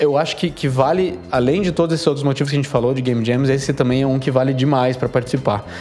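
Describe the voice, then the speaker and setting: Noticeable background noise sits behind a man speaking at a very fast pace. His pitch is medium, with ordinary variation. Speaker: game developer podcast co-host. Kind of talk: casual chat.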